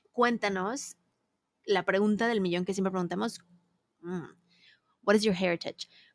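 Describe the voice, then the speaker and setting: The speaker keeps a moderate pace with fairly even intonation and long, frequent pauses. The sound is dry and close, with no echo. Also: woman, medium pitch for a woman. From Mexico City. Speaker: podcast host. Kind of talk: interview chat.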